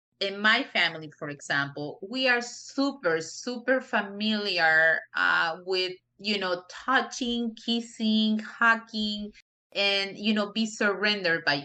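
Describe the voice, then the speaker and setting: A woman with a medium pitch speaks in a strong Spanish accent. Her pace is fairly slow and her intonation lively. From Peru. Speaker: non-profit director. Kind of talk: interview. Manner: frequent you know fillers.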